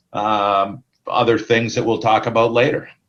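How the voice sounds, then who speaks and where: Against a quiet background, a man with a Canadian accent speaks at medium pitch. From Ontario, Canada. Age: 60s. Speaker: sales manager. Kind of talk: casual interview. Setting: video call. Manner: hesitant, many fillers.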